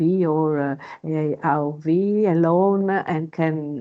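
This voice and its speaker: A woman speaks with a non-native accent. Her fairly low pitch varies in an ordinary way. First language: not English. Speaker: underwater archaeologist. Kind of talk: webinar panel discussion. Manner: halting, many fillers.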